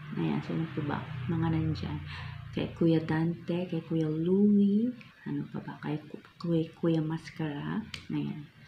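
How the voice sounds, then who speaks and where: The speech goes at a very slow pace. Noticeable background noise runs underneath. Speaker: food vlogger. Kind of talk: casual vlog chat.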